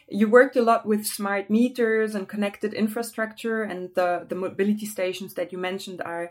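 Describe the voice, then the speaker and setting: Speaking in a German accent, a woman keeps a moderate pace and fairly even intonation. The recording is very clean, with a silent background. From Germany. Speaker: podcast host. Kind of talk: interview.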